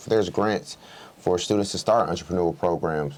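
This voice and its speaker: A man with a Southern accent talks at a moderate pace with ordinary pitch variation. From US South, Clayton County near Atlanta, Georgia. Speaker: state legislator. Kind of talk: interview.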